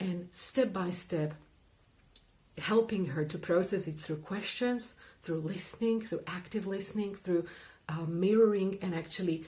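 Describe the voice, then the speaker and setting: A woman talks at a fairly slow pace with long, frequent pauses, in a medium pitch with ordinary pitch variation. Her tone is dark and mellow, and somewhat breathy. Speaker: therapist and coach. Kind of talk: explanatory talk to camera.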